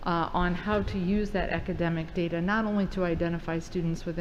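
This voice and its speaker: A woman with a fairly low pitch speaks with audible room echo. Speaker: school district administrator. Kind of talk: presentation to school board. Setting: board meeting. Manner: fast.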